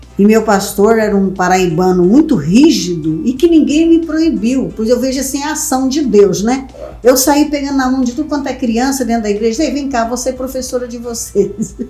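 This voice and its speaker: Lively intonation at a moderate pace with hardly any pauses, plus audible room echo and noticeable background noise. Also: woman, high pitch for a woman. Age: 60s. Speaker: vice mayor. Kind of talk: interview.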